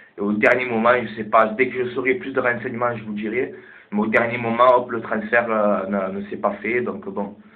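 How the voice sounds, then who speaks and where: A man speaks at a fairly quick pace and medium pitch with fairly even intonation. Audible room echo surrounds his voice. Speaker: football vlogger. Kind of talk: casual vlog commentary. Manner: halting.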